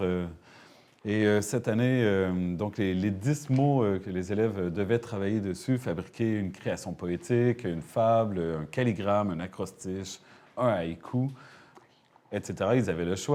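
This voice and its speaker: Speaking at a fairly slow pace, a man uses a fairly low, dark, mellow voice with ordinary pitch variation. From Quebec. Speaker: French teacher. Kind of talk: TV studio interview. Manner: hesitant, many filler sounds.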